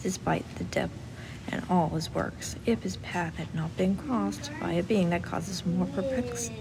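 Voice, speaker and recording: A soft-spoken woman whispering at a moderate pace, with noticeable background noise. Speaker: audiobook reader. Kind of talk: literary audiobook reading. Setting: recorded in a library. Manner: very quiet, whispered-soft, ASMR style.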